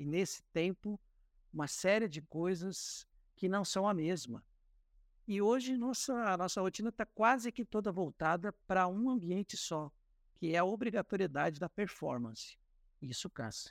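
On a very clean recording with a silent background and a dry, close sound with no echo, a man talks at a moderate pace and a high pitch with lively intonation. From Paraná, Brazil (Cascavel). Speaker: communications director. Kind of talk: interview.

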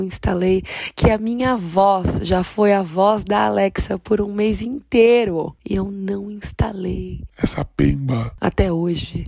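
The speech is very slow, with noticeable background noise behind it. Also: woman. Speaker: podcaster. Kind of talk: casual monologue. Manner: animated.

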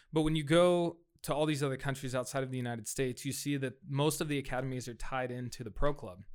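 On a very clean recording with a silent background, a man with a fairly high pitch races along at a very fast pace with ordinary pitch variation. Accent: American. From US West Coast (Fresno, California). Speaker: soccer club executive. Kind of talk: casual interview.

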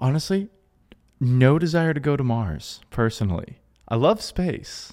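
A man with an American accent and very wide pitch swings, on a very clean recording with a silent background. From US South, Georgia. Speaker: podcast host. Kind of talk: podcast interview. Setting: on location in Florida.

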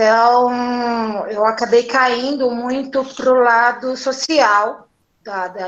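A woman speaks at a high pitch with fairly even intonation. Her pace is very slow. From São Paulo periphery. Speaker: craft brewer. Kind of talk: casual interview.

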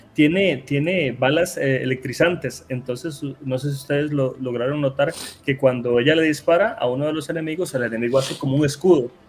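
Noticeable background noise sits under this man's voice. He speaks at a moderate pace with a fairly high pitch. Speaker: gaming content creator. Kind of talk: casual chat.

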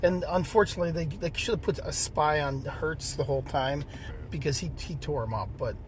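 With vocal fry, a man speaks at a fairly quick pace in a fairly high voice with ordinary pitch variation. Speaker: dad, co-host. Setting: in a parked car.

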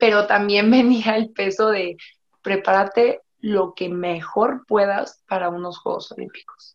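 A woman with a Mexican accent, medium pitch and fairly even intonation. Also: fairly slow pace. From Mexico. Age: 30s. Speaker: Olympic fencer. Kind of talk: interview.

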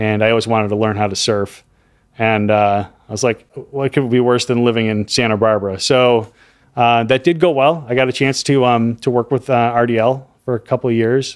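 A man's ordinary speaking voice at a medium pitch, with an American accent, fairly even intonation and a fairly quick pace. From US Midwest, Chicago. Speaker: audio equipment manufacturer rep, acoustician. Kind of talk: casual interview chat.

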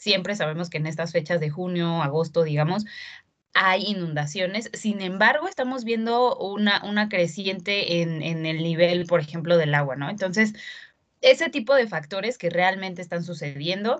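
A woman speaks at a moderate pace in an unremarkable speaking voice, her medium pitch moving with ordinary variation. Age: 20s. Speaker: zero-waste blogger. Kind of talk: casual interview.

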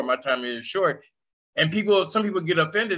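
A man's bright, sharp, animated voice at a fairly quick pace with lively intonation. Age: 60s. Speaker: podcast host. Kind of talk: casual chat.

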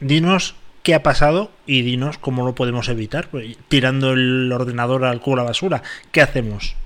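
A man speaks at a medium pitch and a moderate pace. His pitch rises and falls by an ordinary amount. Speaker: radio host. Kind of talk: casual chat. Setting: studio. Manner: animated.

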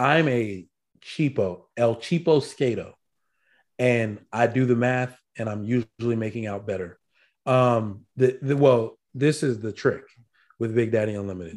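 This man has an ordinary speaking voice at a medium pitch with ordinary pitch variation. He speaks at a fairly slow pace. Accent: American. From Virginia Beach, Virginia, US. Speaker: firearms podcast co-host, medical school program director. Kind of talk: casual chat. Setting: video call.

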